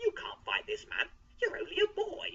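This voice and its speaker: Using a put-on character voice, a woman sounds squeaky and extremely high-pitched. Her pace stays moderate. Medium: read story.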